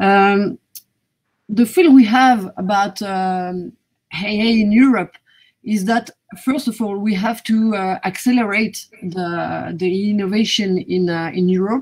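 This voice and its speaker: A woman with a French accent speaks at a very slow pace, her voice somewhat breathy, with ordinary pitch variation over a quiet background. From France. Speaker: government strategy coordinator; panelist. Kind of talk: panel discussion. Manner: halting. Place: home room.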